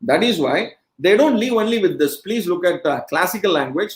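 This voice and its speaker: The speaker has a Marathi accent. The delivery moves at a fairly quick pace. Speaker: education speaker. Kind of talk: lecture. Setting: webcast.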